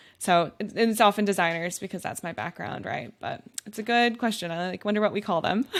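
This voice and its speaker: A woman's ordinary speaking voice at medium pitch, fairly quick, with ordinary pitch variation. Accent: American. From Wisconsin, US Midwest. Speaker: UX designer and design coach. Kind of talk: podcast interview. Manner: conversational, many fillers.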